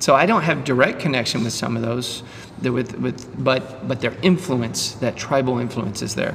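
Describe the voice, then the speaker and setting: A man with a medium pitch talks at a moderate pace with ordinary pitch variation, with audible room echo and noticeable background noise. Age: 50s. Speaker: podcast host and dentist. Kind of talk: casual chat. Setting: CrossFit gym.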